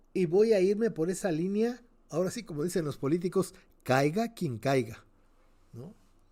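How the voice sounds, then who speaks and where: With lively intonation and a dark, mellow tone, a man talks at a moderate pace in a high pitch. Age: 70s. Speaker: cultural teacher, interviewee. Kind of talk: radio interview. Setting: radio program.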